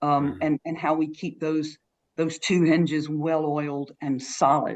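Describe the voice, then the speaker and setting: Someone with an American accent talks at a moderate pace with fairly even intonation. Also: woman. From South Carolina. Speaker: church minister. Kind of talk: interview answer.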